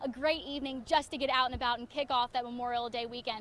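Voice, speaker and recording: Background noise is clearly audible. Through it, a woman talks. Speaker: TV meteorologist and reporter. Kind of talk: TV weather forecast and field reporting montage.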